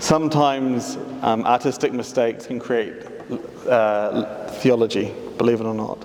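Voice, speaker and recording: A man talks at a moderate pace with fairly even intonation. His medium-pitched voice comes through noticeable background noise. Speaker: artist. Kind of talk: public talk.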